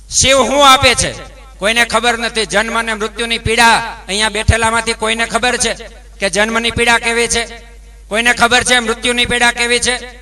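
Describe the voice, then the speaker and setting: A man with an extremely high pitch speaks in a raised, projected voice with monotone, flat intonation over noticeable background noise. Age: young. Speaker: religious speaker, ascetic. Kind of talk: religious discourse. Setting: religious gathering with audience.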